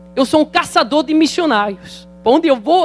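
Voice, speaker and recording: Noticeable background noise surrounds a man speaking at a moderate pace. His voice is extremely high, with lively intonation. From Netherlands. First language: Dutch (speaking Portuguese). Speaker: pastor. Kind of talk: sermon. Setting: church.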